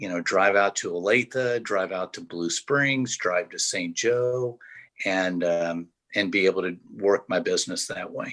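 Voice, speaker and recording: In a fairly low pitch and at a fairly slow pace, a man talks with ordinary pitch variation on a very clean recording with a silent background. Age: 60s. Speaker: food truck owner, retired educator. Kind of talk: interview. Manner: frequent hesitations (uh, um).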